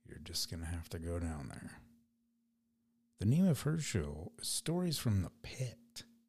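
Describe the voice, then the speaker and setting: A man speaks with a very deep, low pitch, somewhat breathy, at a fairly slow pace. His pitch swings very widely, and his pauses are long and frequent. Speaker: podcast host and spray paint artist. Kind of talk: casual solo podcast monologue. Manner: free-flowing, rambling pace.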